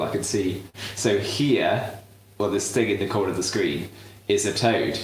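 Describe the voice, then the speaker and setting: Someone with a British accent speaks at a moderate pace, with audible room echo and noticeable background noise. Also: man. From southern England. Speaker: cooking show host. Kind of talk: live cooking demonstration. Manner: halting, many fillers.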